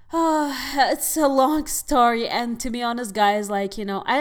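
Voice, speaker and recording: An animated, enthusiastic woman with an Arabic accent. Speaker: podcast host and actress. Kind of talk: casual monologue podcast, advice to listeners. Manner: animated, chatty, enthusiastic.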